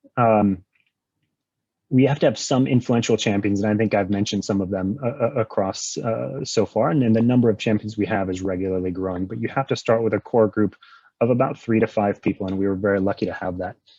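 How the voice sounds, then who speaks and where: The voice has a dark, mellow tone and ordinary pitch variation, delivered at a very fast pace. The sound is dry and close, with no echo. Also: man, fairly low pitch for a man. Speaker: conference presenter, fintech executive. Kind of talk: conference presentation. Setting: virtual conference. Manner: hesitant, many fillers.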